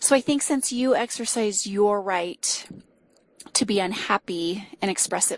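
Recorded dry and close with no echo, a woman with an American accent speaks in a normal speaking voice at a fairly slow pace, her medium pitch carried by lively intonation. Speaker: caller. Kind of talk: casual advice call.

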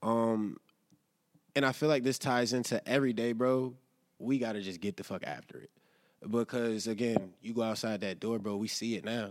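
A man with a plain, everyday voice, at a moderate pace and medium pitch. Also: fairly even intonation. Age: 20s. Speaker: podcast co-host. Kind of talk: casual chat. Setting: live studio recording.

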